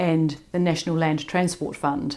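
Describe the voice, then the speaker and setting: A woman speaks with a New Zealand accent at a moderate pace. Her voice is fairly low in pitch. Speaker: public works engineering association president. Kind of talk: conference presentation. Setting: remote recorded talk.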